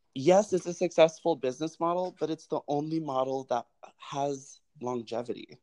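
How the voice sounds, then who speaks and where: Dry and close with no echo, a man with a plain, everyday voice and an American accent talks at a moderate pace with ordinary pitch variation. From Colorado, US. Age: 20s. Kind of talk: interview conversation.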